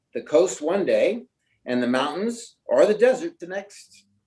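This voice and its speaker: A man speaks at a moderate pace. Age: 60s. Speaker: prostate cancer patient. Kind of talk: personal testimony.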